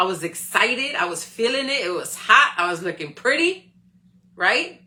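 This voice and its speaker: Clearly audible background noise sits under a woman talking in an animated tone. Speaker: live stream host, motivational speaker. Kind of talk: motivational talk. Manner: loud.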